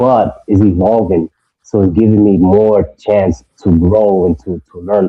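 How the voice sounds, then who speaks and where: A man speaks in a New York accent. His pitch is fairly low, with ordinary pitch variation. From New York (Brentwood, Long Island). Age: 30s. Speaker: screen printer, clothing brand owner. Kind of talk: casual chat.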